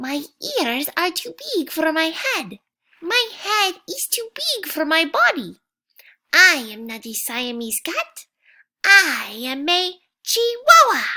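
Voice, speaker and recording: Done as a put-on character voice in a Spanish accent, the delivery is extremely high in pitch with very wide pitch swings at a fairly slow pace. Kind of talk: playful children's story.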